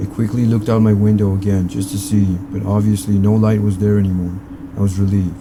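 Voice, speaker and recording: A man's dark, mellow, somewhat breathy voice, fairly low in pitch, at a very fast pace in a monotone, flat intonation. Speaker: horror story narrator. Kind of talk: scary story narration.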